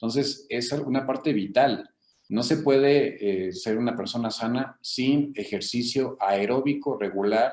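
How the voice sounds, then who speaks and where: Here a man speaks at a fairly slow pace. His medium pitch shows ordinary pitch variation. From Mexico, Querétaro. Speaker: physician, rheumatologist. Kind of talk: interview. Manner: halting, many fillers.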